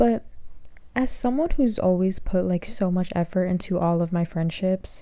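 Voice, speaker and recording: Her voice has a dark, mellow tone at a medium pitch. The woman speaks at a moderate pace with lively intonation. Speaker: podcast host. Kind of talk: casual chat. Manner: frequent filler 'like'.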